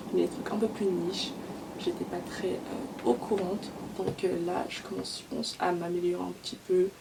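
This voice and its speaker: Someone with an English accent speaks at a moderate pace over noticeable background noise. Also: woman. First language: English (speaking French). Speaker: beauty vlogger. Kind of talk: casual vlog chat. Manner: code-switching French and English; hesitant, many fillers.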